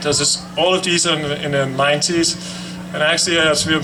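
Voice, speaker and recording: Over noticeable background noise and audible room echo, a man with a European accent and a fairly high pitch speaks at a fairly quick pace in a monotone, flat intonation. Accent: foreign, European. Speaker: cancer survivor speaker. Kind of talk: ceremony speech. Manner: halting.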